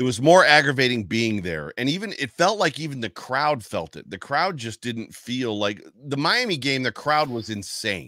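A man speaks at a moderate pace with a bright, sharp tone, vocal fry and very wide pitch swings, recorded dry with no echo against a quiet background. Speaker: podcast co-host. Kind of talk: casual sports talk. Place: home room. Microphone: studio mic.

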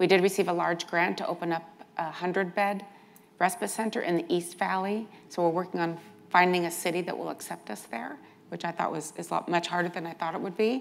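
With vocal fry, a woman talks at a fairly quick pace in a fairly low voice, showing ordinary pitch variation. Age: 60s. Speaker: nonprofit healthcare CEO; panelist. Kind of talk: conference panel talk. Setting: stage with audience. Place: hall. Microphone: lapel.

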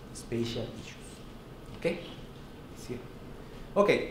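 A man with a Mexican accent is heard with audible room echo and light background noise. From Mexico. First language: Spanish. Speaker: professor. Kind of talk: lecture. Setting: seminar room with audience. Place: classroom.

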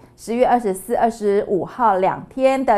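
A woman with a fairly high voice at a fairly slow pace. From Taiwan. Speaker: news anchor. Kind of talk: news reading. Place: studio.

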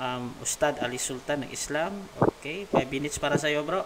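Against noticeable background noise, a man speaks at a moderate pace and fairly high pitch with ordinary pitch variation. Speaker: debate moderator, livestream admin. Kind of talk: livestream moderation. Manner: casual, laughing.

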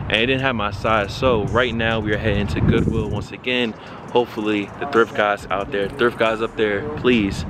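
A man at a moderate pace, with music behind him and a dry sound free of echo. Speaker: sneaker vlogger. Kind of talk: casual vlog chat. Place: street. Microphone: phone near.

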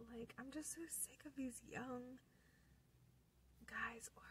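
A woman whispers at a very slow pace, the sound dry with no echo and light background noise behind her. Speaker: ASMR creator. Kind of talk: casual talk to camera. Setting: in a car. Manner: whispered. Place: car. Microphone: phone near.

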